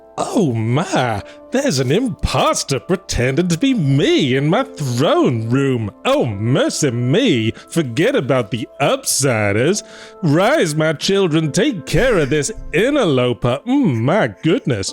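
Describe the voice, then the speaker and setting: A man speaks in a put-on character voice at a fairly slow pace. Music is clearly audible in the background. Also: fairly high pitch for a man. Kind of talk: fancy, old-fashioned. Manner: affected, dramatic.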